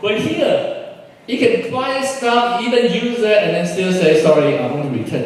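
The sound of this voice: Strong room echo surrounds a man with a high pitch. He talks at a moderate pace with a slightly mellow tone.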